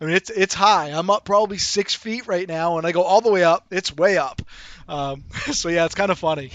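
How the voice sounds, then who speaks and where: A man talks at a fairly quick pace in a Boston accent. His high pitch shows ordinary variation. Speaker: sim racing YouTuber, rig builder. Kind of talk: live stream chat and Q&A. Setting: in a motion sim rig during a live stream. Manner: casual, chatty.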